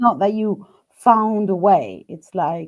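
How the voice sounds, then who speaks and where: A woman's medium-pitched voice in a non-native accent, with ordinary pitch variation. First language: not English. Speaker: live stream host interviewing a tarot deck creator. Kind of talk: casual live-stream interview. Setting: live video stream. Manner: halting, many fillers and restarts.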